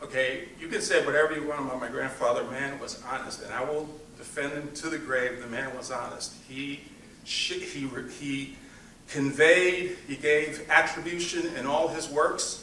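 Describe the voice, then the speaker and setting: Fairly high for a man, this speaker's pitch comes with a Spanish accent, fairly even intonation and a moderate pace. His loudness swings widely, with audible room echo and noticeable background noise. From New York City. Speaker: grandson of honoree, giving acceptance speech. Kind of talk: acceptance speech. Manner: halting, many fillers.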